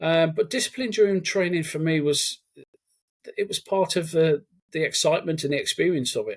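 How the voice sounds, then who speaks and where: At a fairly quick pace, a man speaks at a high pitch with ordinary pitch variation. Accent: Brummie. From Cannock, Staffordshire, England. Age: 40s. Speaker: army veteran. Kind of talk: casual interview chat.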